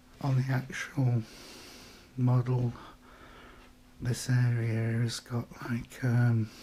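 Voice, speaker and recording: Quiet and somewhat breathy, a man speaks at a very slow pace in a medium pitch, his intonation monotone and flat, with long, frequent pauses. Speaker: hobbyist maker. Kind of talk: casual show-and-tell. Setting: at home late at night. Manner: quiet, keeping voice down; casual, hesitant.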